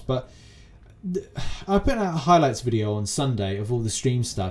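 A somewhat breathy voice in a British accent, very wide pitch swings, moderate pace. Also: man. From UK. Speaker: gaming podcast host. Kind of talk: casual chat.

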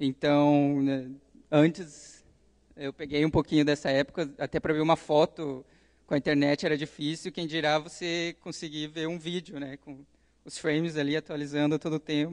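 A man's fairly high voice at a moderate pace, monotone and flat in intonation, with big swings in loudness, against a quiet background. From Curitiba, southern Brazil; Paraná, Brazil. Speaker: software developer and computer engineering student; presenter. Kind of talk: conference talk. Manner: hesitant, many filler sounds. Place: hall.

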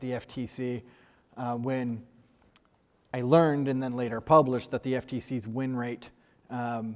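The background is quiet. A man's speech moves at a moderate pace. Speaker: panel moderator. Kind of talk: panel introduction remarks. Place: hall. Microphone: lapel.

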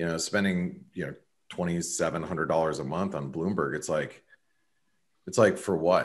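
Over a quiet background, a man with an American accent speaks at a moderate pace in a very deep, low voice with fairly even intonation. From US Southwest. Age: 40s. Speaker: trader; guest. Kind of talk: casual chat. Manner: halting. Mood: relaxed, reflective. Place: home room. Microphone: webcam.

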